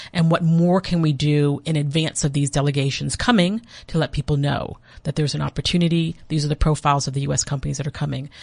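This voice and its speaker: A woman with an American accent speaks at a very fast pace in a very deep, low pitch, her voice somewhat breathy. Her intonation stays fairly even against a quiet background. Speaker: diplomat. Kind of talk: interview. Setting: studio.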